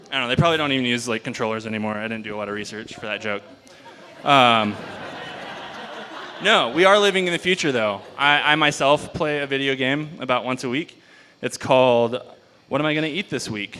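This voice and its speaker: A man's lively intonation at a fairly quick pace, broken by long, frequent pauses. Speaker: stand-up comedian. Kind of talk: stand-up comedy set. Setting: live venue with audience. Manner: low-key, understated.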